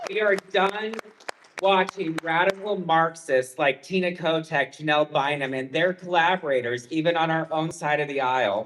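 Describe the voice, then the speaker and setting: Someone with an American accent talks at a moderate pace over noticeable background noise. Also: man, fairly high pitch for a man, ordinary pitch variation. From Denver, Colorado. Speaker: political candidate. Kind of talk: campaign speech. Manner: animated.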